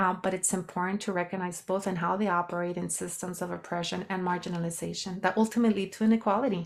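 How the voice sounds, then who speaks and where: In a slight Mexican accent, a woman at medium pitch talks very fast with hardly any pauses and monotone, flat intonation, on a very clean recording with a silent background. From Mexico. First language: Spanish. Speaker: sociologist and health coach. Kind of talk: podcast interview.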